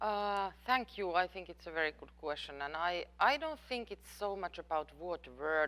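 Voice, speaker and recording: A woman with a non-native accent speaks fairly slowly, her intonation lively. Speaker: professor. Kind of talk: lecture Q&A. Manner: halting.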